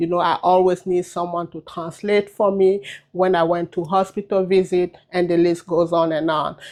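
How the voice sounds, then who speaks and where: A woman's fairly low, flat, monotone voice at a moderate pace, with a quiet background. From Cameroon. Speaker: cosmetologist and trichologist. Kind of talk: personal video message. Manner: unscripted, with many fillers and hesitations.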